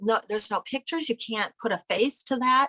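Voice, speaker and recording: A woman's bright, sharp tone with an American accent. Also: dry, close sound with no echo. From US Midwest, Iowa. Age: 60s. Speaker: family historian and photographer. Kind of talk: interview conversation.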